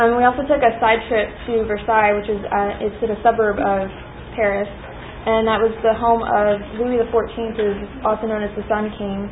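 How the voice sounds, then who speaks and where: A woman's fairly high, monotone, flat voice at a moderate pace, with noticeable background noise. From Pakistan. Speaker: student. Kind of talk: class presentation.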